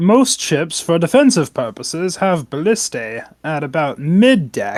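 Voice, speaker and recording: A put-on character voice, croaky, with middle pitch and very wide pitch swings. The pace is moderate. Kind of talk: casual tabletop game talk. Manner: comedic impression.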